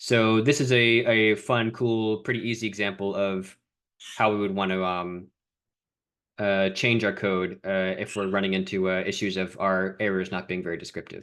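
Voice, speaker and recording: A man talks in a normal speaking voice at a moderate pace. His intonation stays fairly even against a quiet background. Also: fairly low pitch for a man. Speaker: coding mentor. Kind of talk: online coding lesson.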